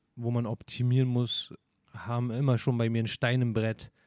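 A man's dark, mellow voice at a medium pitch, dry and close with no echo. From Berlin, Germany. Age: 30s. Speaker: podcast host. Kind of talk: casual monologue.

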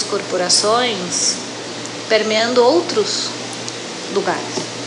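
A woman speaks at a fairly high pitch. Noticeable background noise and audible room echo surround her voice. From Brazil, São Paulo city. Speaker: coffee brand marketing director. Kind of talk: interview. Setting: restaurant.

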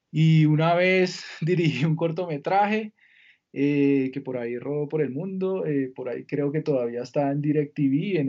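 An unremarkable speaking voice, this man's is fairly high in pitch, with ordinary variation, at a fairly slow pace. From Colombia, Villavicencio. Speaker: entertainment lawyer. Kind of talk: interview conversation.

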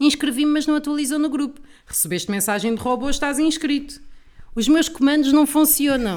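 A woman with a high pitch and an animated tone talks at a fairly quick pace with ordinary pitch variation. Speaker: comedian. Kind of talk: casual chat.

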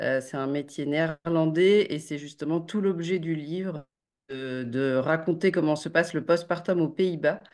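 Her pitch very deep and low, a woman speaks at a fairly slow pace with fairly even intonation. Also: quiet background. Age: 30s. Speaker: journalist and author. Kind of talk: interview. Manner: hesitant with fillers.

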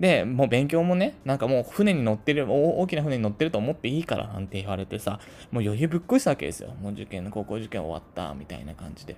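A man speaks at a very fast pace with hardly any pauses, his vocal fry riding very wide pitch swings and big swings in loudness, on a very clean recording with a silent background. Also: medium pitch for a man. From Tokyo, Japan. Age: 30s. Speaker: podcast host, office worker. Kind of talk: casual monologue. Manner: unpolished, not used to talking. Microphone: cheap equipment, may be hard to hear.

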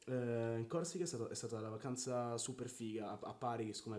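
A man talks at a very fast pace with a medium pitch. Noticeable background noise runs behind him. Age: 20s. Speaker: podcast co-host. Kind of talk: casual chat. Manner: animated.

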